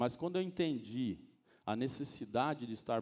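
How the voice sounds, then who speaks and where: Speaking at a moderate pace, a man uses a medium pitch, lively intonation and a dark, mellow tone. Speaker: preacher. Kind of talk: sermon. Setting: church.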